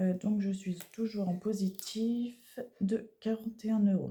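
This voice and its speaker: A woman speaks very slowly, her tone dark and mellow and somewhat breathy. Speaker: budgeting vlogger. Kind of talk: casual vlog. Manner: soft-spoken; halting.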